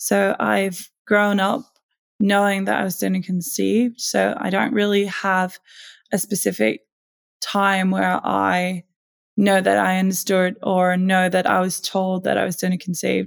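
A woman with a Danish accent speaks at a fairly slow pace on a very clean recording with a silent background. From Denmark. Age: 20s. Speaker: donor-conceived advocate. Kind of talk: interview.

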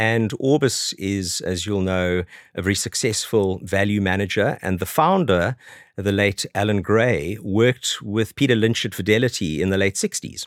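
A man speaks at a moderate pace in a fairly low pitch with ordinary pitch variation, recorded very cleanly against a silent background with a dry, close sound and no echo. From South Africa. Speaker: fund manager. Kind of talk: podcast interview. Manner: halting, many fillers and repetitions.

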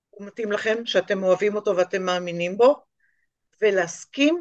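Recorded in a dry, close sound with no echo, a woman with a fairly high pitch speaks with ordinary pitch variation. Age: 60s. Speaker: art teacher and small business owner. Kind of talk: interview.

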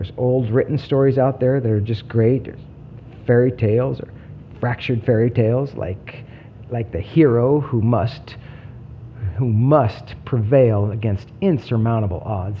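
A man at a medium pitch and moderate pace, ordinary pitch variation, noticeable background noise behind him. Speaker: podcast host. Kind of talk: scripted-style trailer, storytelling intro. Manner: stumbling, pausing often, speeds up when excited; halting with long pauses.

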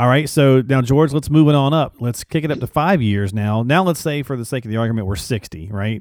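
A man's ordinary speaking voice with lively intonation. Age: 40s. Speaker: podcast co-host. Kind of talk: casual interview about finances.

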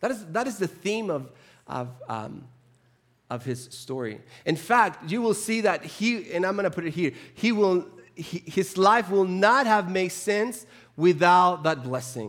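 A man with a Spanish accent speaks at a high pitch with lively intonation. His pace is fairly slow. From Chile. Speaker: preacher. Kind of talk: sermon. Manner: halting, with frequent repetitions.

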